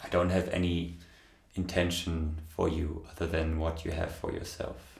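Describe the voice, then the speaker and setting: A man's very deep, low voice, somewhat breathy, in a monotone, flat intonation, with audible room echo. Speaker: meditation channel host. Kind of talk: Q&A answering viewer questions. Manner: slow; halting.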